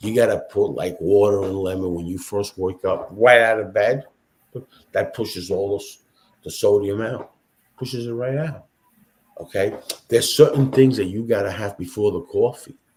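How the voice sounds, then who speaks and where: A man speaks at a moderate pace in a fairly low pitch. His voice is somewhat breathy, with ordinary pitch variation. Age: 60s. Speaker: podcast host, automotive industry veteran. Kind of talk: casual chat. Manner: animated.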